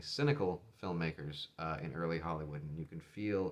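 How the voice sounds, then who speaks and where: This is a man speaking. His pace is fairly quick. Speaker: film collector video host. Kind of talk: casual video review. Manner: unscripted, with frequent fillers.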